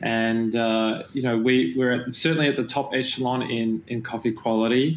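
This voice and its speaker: A man with an Australian accent, medium pitch, fairly even intonation and a moderate pace, over noticeable background noise. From Australia, Melbourne. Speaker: company founder and CEO. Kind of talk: panel interview. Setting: virtual event.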